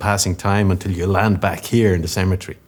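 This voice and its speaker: Someone with a Dublin accent talks at a fairly quick pace. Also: man. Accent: Irish (Dublin). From Ireland, Dublin. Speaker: business executive. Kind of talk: conference keynote speech. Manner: formal.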